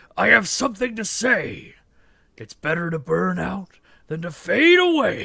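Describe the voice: The pace is moderate. The voice is a put-on character voice.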